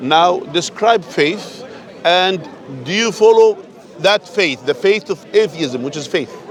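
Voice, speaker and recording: A man with a non-native accent, high-pitched, at a very slow pace, over noticeable background noise. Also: lively intonation. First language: not English. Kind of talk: street debate. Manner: animated, interrupting.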